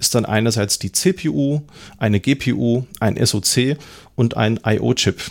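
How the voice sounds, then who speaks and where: This man's voice is medium in pitch with ordinary pitch variation, captured in a very clean recording against a silent background. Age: 30s. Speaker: podcast host, IT trainer. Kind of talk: solo podcast monologue.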